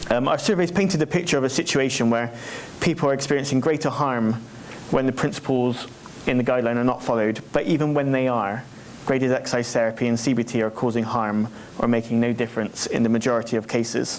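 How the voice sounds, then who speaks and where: A man talks very fast at a medium pitch, with ordinary pitch variation and very even loudness. Noticeable background noise and audible room echo fill the recording. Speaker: charity representative presenting survey. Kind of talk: conference presentation.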